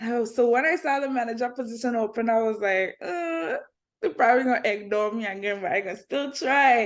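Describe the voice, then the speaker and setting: At a fairly quick pace, a woman talks with lively intonation against a quiet background. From British Virgin Islands. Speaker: entertainment reporter and content creator. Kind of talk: interview.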